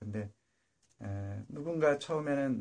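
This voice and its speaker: Speaking very slowly, a man keeps his pitch in the medium range. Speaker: solo political commentary streamer. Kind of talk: casual monologue livestream. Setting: live internet stream. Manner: halting with many fillers.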